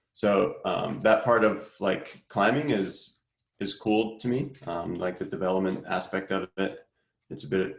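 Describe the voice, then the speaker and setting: A man's very deep, low voice with an American accent and ordinary pitch variation, in audible room echo. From Boston, Massachusetts. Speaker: climbing coach. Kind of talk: online clinic presentation.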